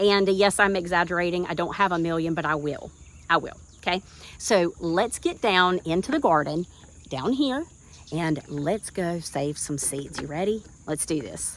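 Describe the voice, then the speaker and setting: This woman has a Southern US accent and a fairly low pitch. Her tone is animated, her pitch variation ordinary and her pace moderate. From US South, central North Carolina. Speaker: gardening YouTuber. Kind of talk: tutorial.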